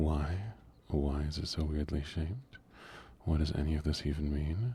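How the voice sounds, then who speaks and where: The speaker is soft-spoken. The pace is moderate. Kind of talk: casual livestream gaming chat. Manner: soft-spoken, low energy.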